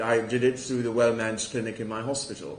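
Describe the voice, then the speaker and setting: A man is speaking. Audible room echo can be heard. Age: 60s. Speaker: prostate cancer charity volunteer speaker. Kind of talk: testimony.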